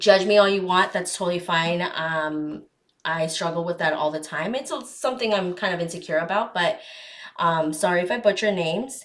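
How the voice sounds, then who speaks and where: This woman has a plain, everyday voice and an American accent. She speaks at a moderate pace with a fairly low pitch and ordinary pitch variation. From Arizona. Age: 20s. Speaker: podcast host. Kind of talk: casual chat.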